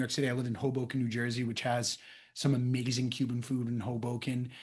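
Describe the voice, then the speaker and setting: With an American accent, a man of medium pitch speaks in a monotone, flat intonation. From Boston area, US. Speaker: actor. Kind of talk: casual chat.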